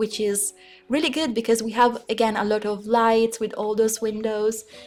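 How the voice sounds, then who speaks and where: A woman speaks with an Italian accent at a fairly high pitch. Music plays in the background. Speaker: gaming YouTuber. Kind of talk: voiceover commentary. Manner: halting.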